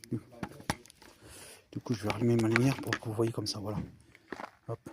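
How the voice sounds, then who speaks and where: At a very fast pace, a man talks at a medium pitch with monotone, flat intonation. The sound is dry and close with no echo, and background noise is noticeable. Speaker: paranormal investigator youtuber. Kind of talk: ghost hunting vlog. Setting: outdoors in a cemetery at night. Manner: loud; hushed.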